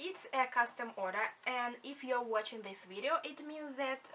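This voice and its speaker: A woman with a high pitch and a non-native accent talks at a fairly slow pace with ordinary pitch variation. Noticeable background noise can be heard. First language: not English. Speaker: junk journal maker. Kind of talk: craft flip-through talk to camera.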